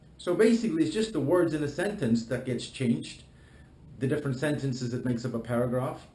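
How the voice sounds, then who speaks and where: A man speaks at a fairly high pitch with lively intonation. There is audible echo from the room. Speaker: life coach. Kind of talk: promotional talk to camera. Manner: passionate, animated.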